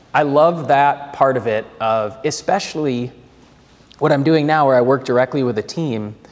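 A man with an American accent and medium pitch speaks at a fairly slow pace with ordinary pitch variation. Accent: Minnesotan, slight to moderate. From Twin Cities, Minnesota. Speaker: business banker. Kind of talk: casual interview chat.

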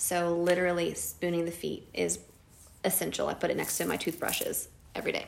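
A woman with an American accent talks at a fairly quick pace, with audible room echo around her. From Nashville, Tennessee (US South). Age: 30s. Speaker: energy healer and mother. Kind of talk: interview conversation.

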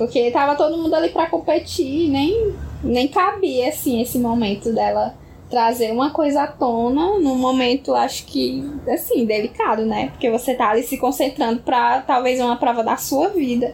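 Her high-pitched delivery as a woman moves at a moderate pace, with lively intonation and very even loudness. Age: 20s. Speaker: podcast co-host. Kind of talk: casual chat.

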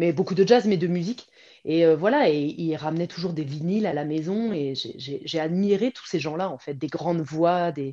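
This woman's voice is fairly low-pitched, with a dark, mellow tone and ordinary pitch variation. Her loudness swings widely at a moderate pace against a quiet background. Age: 40s. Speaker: pilates teacher and former professional dancer. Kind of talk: interview. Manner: hesitant, many fillers.

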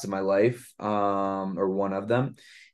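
Against a quiet background, a man with a New York accent talks at a fairly low pitch with fairly even intonation. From Brooklyn, New York. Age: 20s. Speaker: podcast host. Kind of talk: interview.

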